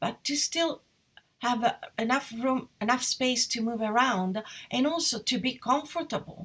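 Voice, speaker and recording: A woman's high voice with an Italian accent, ordinary pitch variation and a fairly slow pace. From Italy, Perugia. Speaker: interior designer. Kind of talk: live presentation. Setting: live online session. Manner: hesitant, with fillers.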